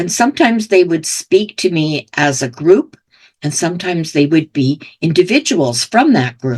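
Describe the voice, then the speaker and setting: Recorded dry and close with no echo, a woman talks at a fairly slow pace. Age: 70s. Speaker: spiritual business coach. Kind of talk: monologue to camera. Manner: casual, conversational.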